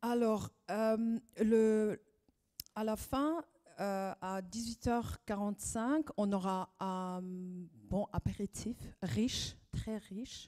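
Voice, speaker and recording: A woman with a Swiss German accent speaks at a very slow pace in a dark, mellow tone, with a medium pitch and ordinary pitch variation. The recording is very clean and dry, with a close sound, no echo, and a silent background. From Zurich, Swiss German region. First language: Swiss German (speaking French). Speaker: event moderator. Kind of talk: event opening speech. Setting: live event with audience. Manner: hesitant, many fillers.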